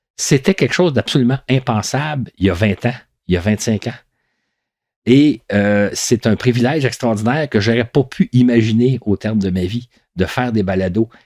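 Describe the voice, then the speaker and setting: A man at medium pitch, an unremarkable speaking voice with ordinary pitch variation at a moderate pace, dry and close with no echo, on a very clean recording with a silent background. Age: 60s. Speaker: podcast storyteller. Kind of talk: reflective monologue. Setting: home recording.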